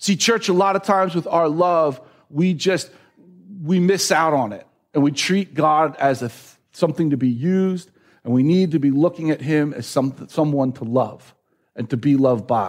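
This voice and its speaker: On a very clean recording with a silent background, a man with a normal speaking voice talks at a moderate pace and fairly high pitch, with ordinary pitch variation. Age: 40s. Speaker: pastor. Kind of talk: sermon.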